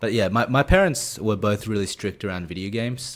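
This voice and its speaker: On a very clean recording with a silent background, a man with an Australian accent talks very fast, using ordinary pitch variation. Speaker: esports coach. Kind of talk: interview. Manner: halting.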